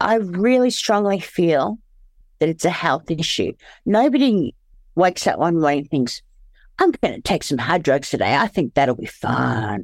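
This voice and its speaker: In a very clean recording with a silent background, a woman with an Australian accent speaks at a moderate pace and fairly low pitch, her pitch swinging very widely. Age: 40s. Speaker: former sex worker and recovering heroin user. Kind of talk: personal testimony in interview. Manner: halting, struggles to find words.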